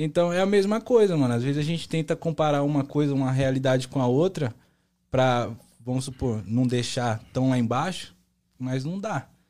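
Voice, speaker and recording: A dark, mellow tone with lively intonation at a moderate pace, on a very clean recording with a silent background. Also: man, fairly high pitch for a man. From Brazil, São Paulo and Bahia. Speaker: singer-songwriter. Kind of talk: casual chat.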